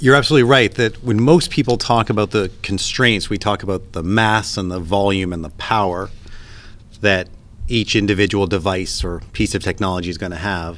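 A man with a Canadian accent has a plain, everyday voice, fairly low in pitch with ordinary pitch variation. He talks at a fairly quick pace. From Canada. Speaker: emergency physician and space medicine scientist. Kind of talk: interview.

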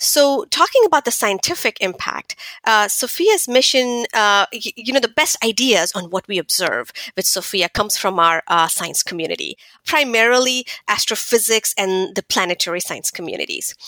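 Using very wide pitch swings, a woman talks at a moderate pace in a fairly high pitch. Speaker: astronomer and project scientist. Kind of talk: interview. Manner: animated; halting with fillers.

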